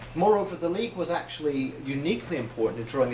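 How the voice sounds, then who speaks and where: Over noticeable background noise, a man with a Northern Irish accent talks with lively intonation. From Northern Ireland. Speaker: socialist writer. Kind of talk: public lecture.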